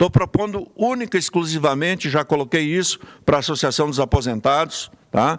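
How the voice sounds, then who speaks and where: A man with a fairly high pitch uses a normal speaking voice, talking at a moderate pace with lively intonation. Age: 60s. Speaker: city councillor. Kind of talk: parliamentary speech.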